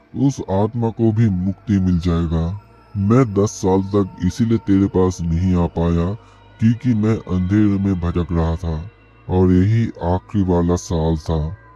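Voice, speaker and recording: Faint music plays in the background as a man uses a put-on character voice with very deep, low pitch at a fairly slow pace. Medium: audio drama. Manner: tender, solemn.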